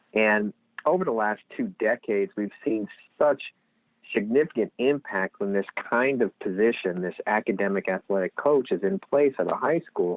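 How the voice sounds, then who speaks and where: Lively intonation at a moderate pace, in a Lehigh Valley accent. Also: man, medium pitch for a man. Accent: Lehigh Valley Pennsylvania. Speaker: nonprofit executive director. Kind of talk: podcast interview.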